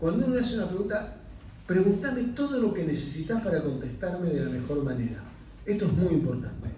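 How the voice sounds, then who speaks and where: Amid noticeable background noise and audible room echo, a man speaks in a high pitch with very wide pitch swings. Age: 60s. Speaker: physician and invited lecturer. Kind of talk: lecture. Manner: halting, with many self-corrections.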